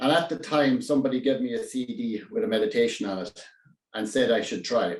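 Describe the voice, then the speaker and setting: Speaking with a strong Irish accent, a man talks at a very fast pace with very wide pitch swings. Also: medium pitch for a man. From Ireland, County Kerry. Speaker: public speaking club member. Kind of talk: prepared speech. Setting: speech contest. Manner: halting; goes quiet at times.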